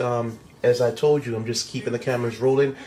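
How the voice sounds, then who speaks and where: This is an unremarkable speaking voice with fairly even intonation. The pace is fairly quick. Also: man. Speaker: vlogger. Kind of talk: casual chat.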